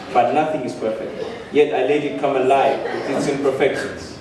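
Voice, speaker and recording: Noticeable noise fills the background. Over it, a man talks at a moderate speed. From Namibia. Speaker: poet. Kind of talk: spoken word poetry performance. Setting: live stage. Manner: passionate.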